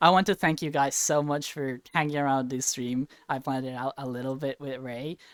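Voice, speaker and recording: Over noticeable background noise, the speech moves at a fairly quick pace with hardly any pauses. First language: Spanish. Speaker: streamer. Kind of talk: casual chat. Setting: livestream.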